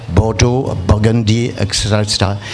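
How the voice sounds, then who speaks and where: Monotone, flat intonation in a French accent, over noticeable background noise. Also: man. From France. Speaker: teacher mentoring culinary students. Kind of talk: short speech at ceremony. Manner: halting.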